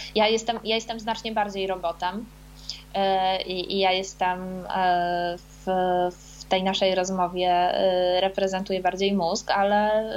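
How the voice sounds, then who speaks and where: Fairly even in intonation and medium in pitch, the woman's speech moves at a fairly slow pace. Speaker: author. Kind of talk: casual chat. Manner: halting.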